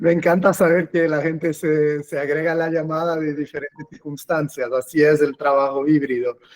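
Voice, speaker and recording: Over noticeable background noise, a man talks at a moderate pace with hardly any pauses. His fairly high voice is flat and monotone, with a dry, close sound and no echo. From Portugal. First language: Portuguese (speaking Spanish). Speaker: cloud customer engineer. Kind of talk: webinar presentation. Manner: hesitant, with fillers.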